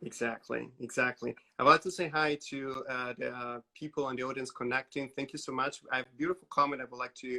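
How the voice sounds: Here a man talks at a fairly quick pace with a medium pitch and fairly even intonation. His tone is bright and sharp, with vocal fry.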